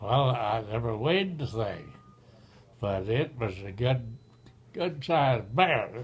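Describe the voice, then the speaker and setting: With long, frequent pauses and a very slow pace, a somewhat breathy man of medium pitch speaks with lively intonation. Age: 80s+. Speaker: retired railroad engineer. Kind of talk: storytelling, casual conversation.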